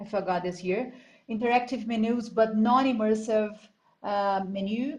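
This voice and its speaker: The woman's voice is somewhat breathy, and her pitch rises and falls an ordinary amount. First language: Spanish. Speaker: graduate student artist. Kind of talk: class project presentation. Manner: halting.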